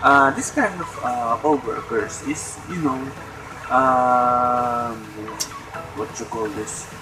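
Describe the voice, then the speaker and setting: With music in the background, a man in a Filipino accent talks at a very slow pace and medium pitch with fairly even intonation. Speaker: vlogger. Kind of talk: casual chat. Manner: halting.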